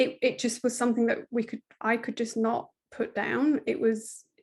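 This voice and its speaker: A woman with a British accent speaks at a fairly slow pace in a fairly high pitch, against a quiet background. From Britain. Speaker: parenting coach. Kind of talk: podcast interview.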